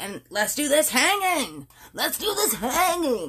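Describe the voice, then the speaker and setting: A put-on character voice at a fairly slow pace with very wide pitch swings. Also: woman, high pitch for a woman. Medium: read story. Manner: callous, mocking.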